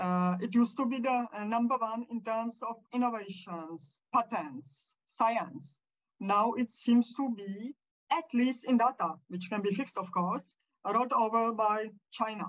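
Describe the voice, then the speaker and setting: In a somewhat breathy voice, a woman speaks at a fairly slow pace. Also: fairly high pitch for a woman, ordinary pitch variation. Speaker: podcast interviewer. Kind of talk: interview questions.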